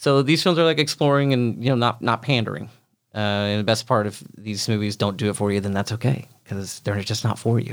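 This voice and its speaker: A man with an American accent in an ordinary speaking voice, medium in pitch, with ordinary pitch variation. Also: fairly quick pace. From Oklahoma. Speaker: filmmaker and film programmer. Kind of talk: casual interview. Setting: studio with headphones.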